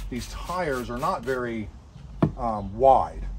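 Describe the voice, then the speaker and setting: A man speaks over noticeable background noise. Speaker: homesteader doing tractor repair. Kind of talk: tutorial. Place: garden. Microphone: camera far.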